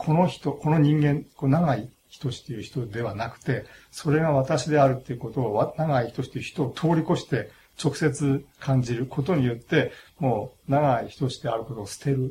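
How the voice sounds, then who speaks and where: This man's voice is somewhat breathy, with a dark, mellow tone, a fairly high pitch, ordinary pitch variation, and a moderate pace. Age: 60s. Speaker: philosophy professor. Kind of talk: interview. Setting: studio. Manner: halting.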